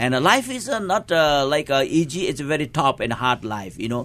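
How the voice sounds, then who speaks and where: Speaking in a Nepali accent, a man keeps a moderate pace and a lively intonation. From eastern Nepal, rural. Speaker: pastor. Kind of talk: interview. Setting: studio. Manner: halting.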